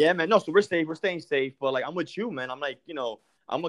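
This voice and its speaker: A man talks at a very fast pace with ordinary pitch variation, his voice dry and close with no echo against a quiet background. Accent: New York. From New York. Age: 30s. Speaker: podcast host. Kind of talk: casual interview. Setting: call.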